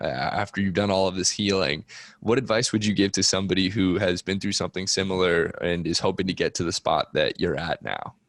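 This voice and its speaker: An unremarkable speaking voice belongs to this man, fairly low in pitch and moderate in pace, recorded very cleanly against a silent background with a dry, close sound and no echo. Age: 20s. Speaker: podcast host interviewing guests about trauma. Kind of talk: casual interview conversation.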